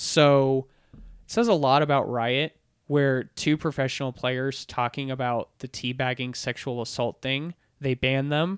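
On a very clean recording with a silent background and a dry, close sound with no echo, a man with a plain, everyday voice speaks at a fairly slow pace, medium in pitch with fairly even intonation. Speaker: podcast host. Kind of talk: casual chat.

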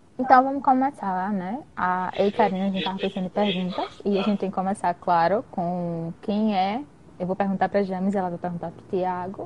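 With hardly any pauses, a woman talks at a fairly quick pace, using a medium pitch and ordinary pitch variation. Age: 20s. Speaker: guest, dentistry student and partner of host. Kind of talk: casual live chat. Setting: live video stream. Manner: nervous at first, joking.

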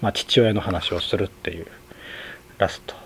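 A man speaks in a relaxed tone against noticeable background noise. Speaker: podcast host, film reviewer. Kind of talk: solo monologue film review. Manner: relaxed, frequent fillers and laughs.

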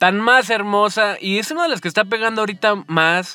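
A man speaks in a raised, projected voice. His tone is animated. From Mexico, Guadalajara. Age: 20s. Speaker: podcast host and communications student. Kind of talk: casual podcast monologue.

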